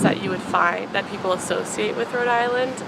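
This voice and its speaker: There is noticeable background noise. A woman speaks with lively intonation. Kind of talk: interview answer.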